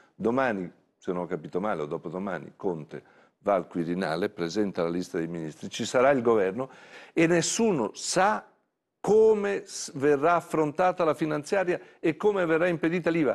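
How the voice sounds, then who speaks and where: A man speaks at a moderate pace with very wide pitch swings and long, frequent pauses, against a quiet background. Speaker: party secretary and politician; talk show guest. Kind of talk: interview answer. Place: studio. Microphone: lapel.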